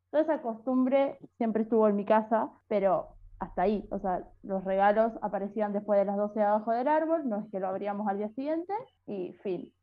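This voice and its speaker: A woman with a Rioplatense accent talks fairly quickly at a fairly high pitch, with ordinary pitch variation. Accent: Argentine Rioplatense Spanish. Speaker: podcast co-host. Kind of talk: casual chat.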